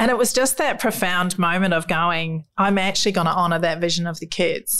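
Here a woman speaks with a New Zealand accent at a fairly quick pace. Her pitch is fairly low and her intonation fairly even. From New Zealand, rural South Island. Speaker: children's mental health charity founder. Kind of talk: interview.

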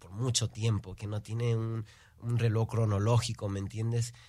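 Somewhat breathy male voice at medium pitch and moderate pace, on a very clean recording with a silent background. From Houston, Texas, Peruvian parents. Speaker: singer, musician. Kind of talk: interview.

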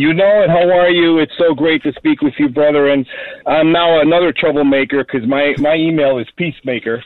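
Fairly high in pitch, a man talks at a fairly quick pace with ordinary pitch variation. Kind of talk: talk radio discussion with preaching. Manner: animated.

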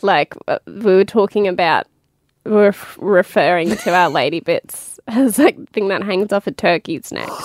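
With an Australian accent, a woman at a medium pitch speaks in an animated tone at a fairly slow pace. Her pitch varies in an ordinary way, and the sound is dry and close with no echo. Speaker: podcast host. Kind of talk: casual chat. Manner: animated, laughing a lot.

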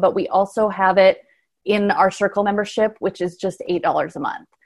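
A woman's plain, everyday voice at a medium pitch, with a moderate pace and fairly even intonation. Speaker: podcast host. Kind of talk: casual chat.

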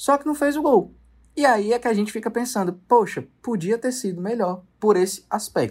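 This man talks at a moderate pace in a high pitch for a man, with ordinary pitch variation, on a very clean recording with a silent background. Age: 20s. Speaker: sports TV producer and presenter. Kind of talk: casual sports chat.

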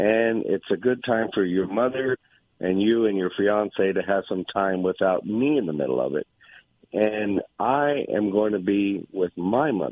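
A plain, everyday voice from a man, fairly low in pitch, moving at a fairly slow pace with ordinary pitch variation. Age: 60s. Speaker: caller. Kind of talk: casual chat. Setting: phone call.

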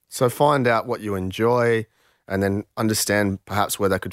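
A man speaks fairly quickly with an Australian accent. The sound is dry and close with no echo, on a very clean recording with a silent background. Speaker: podcast host, reformed hacker. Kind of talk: podcast discussion.

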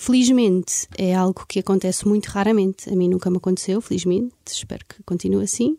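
A woman's dark, mellow tone at a fairly quick pace, dry and close with no echo, on a very clean recording with a silent background. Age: 30s. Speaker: aesthetic medicine doctor. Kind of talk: interview. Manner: halting.

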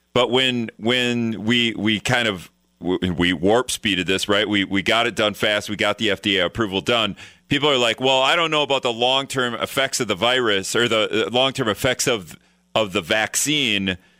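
An unremarkable speaking voice, a man at a moderate pace with medium pitch and ordinary pitch variation. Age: 40s. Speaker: radio host. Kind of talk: radio interview.

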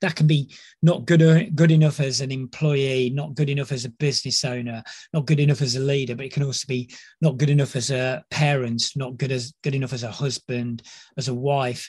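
Talking at a fairly quick pace, a man with a somewhat breathy, fairly high-pitched voice keeps his intonation fairly even. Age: 50s. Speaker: leadership psychologist. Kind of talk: casual chat.

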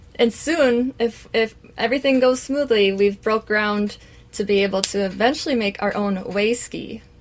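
This woman has an Upper Midwest accent and a fairly high voice. She talks at a moderate pace with ordinary pitch variation. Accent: Upper Midwest (Minnesota). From central Minnesota. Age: young. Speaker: cheesemaker. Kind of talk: interview.

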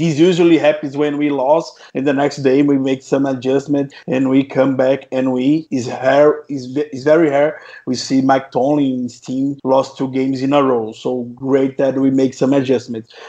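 A man with a Portuguese accent speaks at medium pitch in a dark, mellow tone with monotone, flat intonation and hardly any pauses. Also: moderate pace. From Brazil. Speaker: podcast host. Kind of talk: podcast interview. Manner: halting.

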